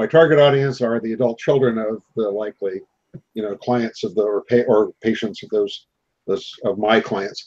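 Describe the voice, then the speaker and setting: The man's pitch sits in the medium range. He speaks at a moderate pace with fairly even intonation. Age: 60s. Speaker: marketing consultant for elder care. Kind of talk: casual chat. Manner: halting.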